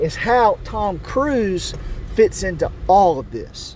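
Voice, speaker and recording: A man speaks over noticeable background noise. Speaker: conspiracy video host. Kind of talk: monologue to camera.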